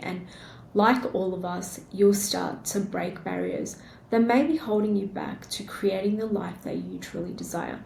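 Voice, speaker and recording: A woman with an Australian accent at a fairly slow pace, with audible room echo. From Australia, born in India. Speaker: podcast host. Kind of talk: solo podcast monologue.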